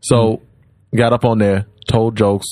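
This man's tone is dark and mellow, and his intonation is monotone and flat. He talks at a moderate pace. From Louisiana, Baton Rouge. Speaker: comedian. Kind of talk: casual chat.

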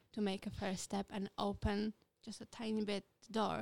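A woman with a Polish accent, fairly high-pitched and fairly slow, in a dry, close sound with no echo. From Poland. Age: 20s. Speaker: podcast co-host. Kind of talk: casual chat.

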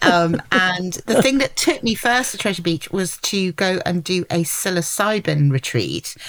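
Speaking with a southern English accent, a woman uses a medium pitch and lively intonation at a fairly slow pace, with hardly any pauses. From London. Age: 50s. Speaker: journalist and entrepreneur. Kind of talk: casual interview chat.

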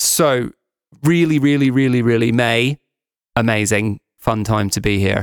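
In an English accent, a man of medium pitch speaks at a fairly slow pace, the sound dry and close with no echo. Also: ordinary pitch variation. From England. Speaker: podcast host, tour operator. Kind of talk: casual chat. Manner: animated.

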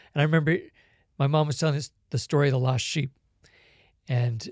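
A man's fairly high, somewhat breathy voice at a fairly quick pace, with ordinary pitch variation, dry and close with no echo, on a very clean recording over a silent background. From Hong Kong. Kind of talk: faith testimony and conversation.

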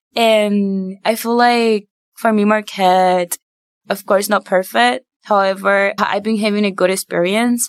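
At a fairly slow pace, a woman with a Spanish accent and medium pitch keeps her intonation fairly even and her loudness very even. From Puerto Rico. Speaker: university student. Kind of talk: podcast interview.

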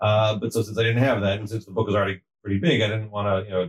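A man's fairly low, somewhat breathy voice at a very fast pace, with fairly even intonation. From moved around US East Coast; high school in Atlanta. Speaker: rabbi and family counselor. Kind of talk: casual interview. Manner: halting, repeats words.

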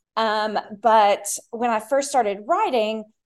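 Over a very clean recording with a silent background, a woman with an American accent speaks in a plain, everyday voice, fairly high in pitch, with ordinary pitch variation. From Tennessee and Texas. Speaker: children's book author. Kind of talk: interview.

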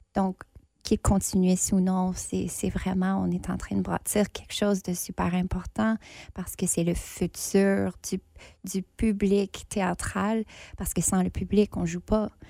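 A woman's dark, mellow voice at medium pitch, monotone and flat, at a very slow pace. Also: very clean recording, silent background. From northern Ontario, Franco-Ontarian. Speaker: theatre artist, festival judge. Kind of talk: casual interview.

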